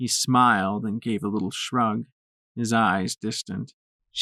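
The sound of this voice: The background stays quiet as an unforced reading voice comes through.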